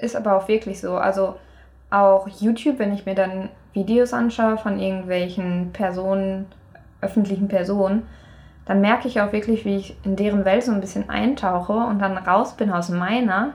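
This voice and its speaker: At a moderate pace and medium pitch, a woman with a plain, everyday voice speaks with fairly even intonation. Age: 20s. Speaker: university student. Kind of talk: casual chat.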